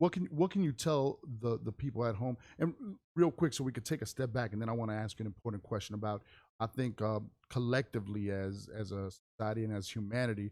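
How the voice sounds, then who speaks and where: Very fast speech comes from a man whose pitch varies in an ordinary way. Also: medium pitch for a man, very clean recording, silent background. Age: 40s. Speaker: radio and stream interview host. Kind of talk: casual interview.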